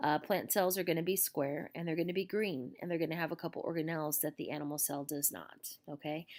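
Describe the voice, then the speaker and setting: A woman speaks at a fairly quick pace with ordinary pitch variation. Her pitch is fairly low. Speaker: teacher. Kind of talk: lecture. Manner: fast; casual, filler-heavy.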